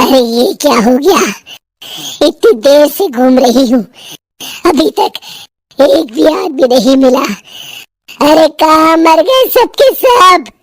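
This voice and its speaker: A woman puts on a cartoonish character voice, pitched high, with a menacing tone and cackling. She goes at a fairly slow pace with long, frequent pauses. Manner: cackling, menacing.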